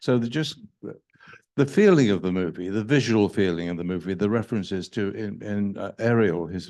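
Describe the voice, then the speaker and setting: Against a quiet background, a man with a British accent and fairly low pitch talks at a moderate pace with ordinary pitch variation. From England. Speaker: film director. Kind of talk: Q&A discussion. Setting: stage with audience. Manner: halting.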